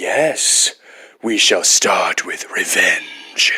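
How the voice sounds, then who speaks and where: A man whispers in a put-on character voice. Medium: fan dub. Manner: brooding, menacing.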